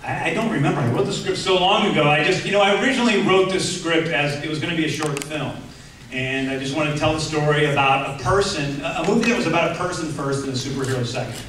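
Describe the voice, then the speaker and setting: Over light background noise and audible room echo, a man talks at a very fast pace with ordinary pitch variation. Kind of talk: interview answer. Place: hall.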